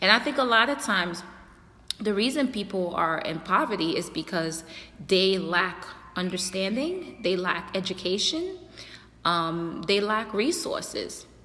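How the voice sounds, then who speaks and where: A woman with a slight non-native accent speaks at a medium pitch and a fairly slow pace, her intonation lively. Audible room echo surrounds her voice. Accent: slight foreign. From a developing country abroad. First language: not English. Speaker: youtuber and community activist. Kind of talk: casual monologue to camera. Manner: halting, many fillers.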